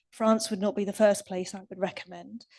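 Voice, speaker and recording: A woman with a fairly high pitch speaks in an English accent against a quiet background. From England. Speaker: recycling industry expert speaker. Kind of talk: conference Q&A answer.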